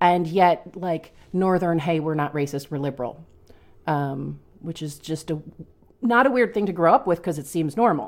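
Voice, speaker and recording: An ordinary speaking voice at a moderate pace, with an American accent. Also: woman, fairly low pitch for a woman. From Long Island, New York. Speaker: teacher. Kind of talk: casual chat.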